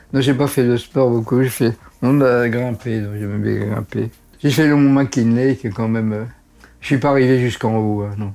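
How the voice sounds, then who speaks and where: At a moderate pace, a man speaks with a medium pitch, a dark, mellow tone and fairly even intonation. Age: 80s+. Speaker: doctor. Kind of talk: interview answer.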